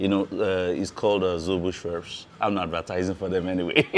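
Faint music plays behind a man whose voice is very deep and low. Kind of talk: interview answer. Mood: friendly, relaxed, smiling. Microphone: lapel.

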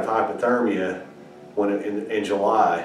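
In a room with audible echo and light background noise, a man speaks at a fairly slow pace with fairly even intonation. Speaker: amateur birding instructor. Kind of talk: casual tutorial talk. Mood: earnest anecdote. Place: home room. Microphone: camera far.

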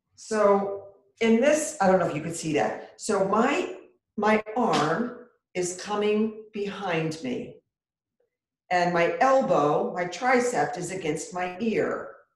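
In a calm, soothing tone, a woman speaks at a very slow pace, with audible room echo. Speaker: yoga instructor. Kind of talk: guided chair yoga and breathing instruction. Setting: video call, online class from home. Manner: calm, slow, soothing, with pauses and counted cues; gently encouraging, reassuring and conversational. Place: home room. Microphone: webcam.

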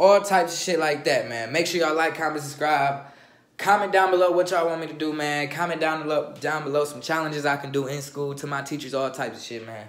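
A very fast pace with ordinary pitch variation and audible room echo. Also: man. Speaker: vlogger. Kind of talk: casual vlog chat. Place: home room. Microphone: phone near.

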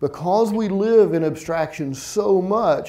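A man with a dark, mellow tone speaks at a fairly slow pace. His pitch varies in an ordinary way over a quiet background. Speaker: keynote speaker. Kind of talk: conference keynote. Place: stage. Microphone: lapel.

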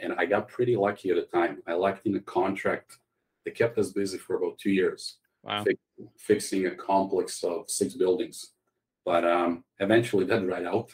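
A man speaks with a Croatian accent. His pace is moderate. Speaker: tech startup CEO. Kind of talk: interview.

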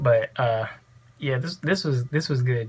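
The man's voice comes across somewhat breathy. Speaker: reaction vlogger. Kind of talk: casual vlog chat. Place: home room. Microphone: earbuds.

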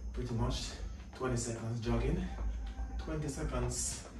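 The man's voice comes through with audible room echo and noticeable background noise behind it. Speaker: fitness instructor. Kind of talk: workout instruction. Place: home room. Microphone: camera far.

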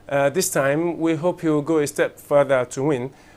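The man's intonation stays fairly even as he speaks. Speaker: football team staff. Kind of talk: interview. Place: studio. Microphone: lapel.

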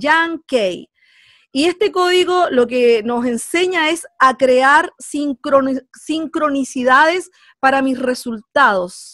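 Speaking slowly in a high, fairly bright voice with ordinary pitch variation, a woman with a Chilean accent is heard in a dry, close recording with no echo.

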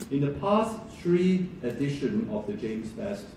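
Audible room echo and light background noise around a man's voice. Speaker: event host introducing the lecture. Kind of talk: formal speech introduction. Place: hall.

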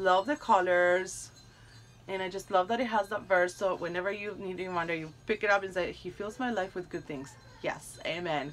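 Animated woman's voice at a moderate pace, with ordinary pitch variation and light background noise. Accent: non-native. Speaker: YouTuber doing product unboxing. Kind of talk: unboxing review. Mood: warm, delighted. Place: home room. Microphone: phone near.

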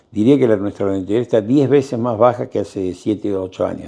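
Over a quiet background, a man speaks at a moderate pace. His voice is fairly low, with a dark, mellow tone. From Argentina. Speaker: architect. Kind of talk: interview. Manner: halting. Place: office. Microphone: lapel.

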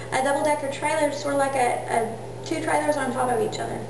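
Audible room echo and noticeable background noise surround a woman's speech. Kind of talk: informal speech to camera. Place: home room. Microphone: camera far.

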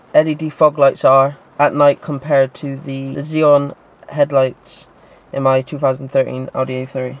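A man speaks at a very slow pace in a flat monotone. The sound is dry, with no echo. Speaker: car vlogger. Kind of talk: casual vlog chat. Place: car.

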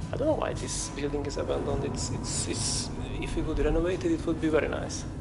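Someone talks at a very fast pace with music playing in the background. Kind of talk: casual exploration commentary. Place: empty room. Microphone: phone near.

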